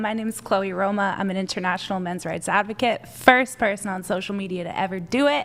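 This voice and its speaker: A woman speaks at a very fast pace and a medium pitch. She leaves hardly any pauses. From Canada. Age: 20s. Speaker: men's rights advocate. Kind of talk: heated debate. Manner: animated.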